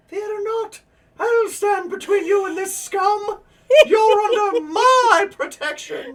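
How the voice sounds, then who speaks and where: In a put-on character voice with an extremely high pitch, the speaker talks at a fairly slow pace. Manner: heroic, protective.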